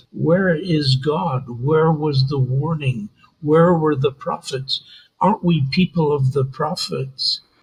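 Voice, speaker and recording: A man's somewhat breathy, fairly high voice at a very slow pace, with ordinary pitch variation. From Israel, raised in New York. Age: 80s+. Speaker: tour business owner. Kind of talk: interview, personal testimony.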